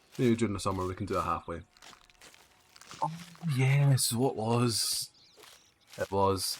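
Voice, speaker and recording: Somewhat breathy, a man with a Scottish accent speaks with fairly even intonation. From Scotland. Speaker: game streamer. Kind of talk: casual chat.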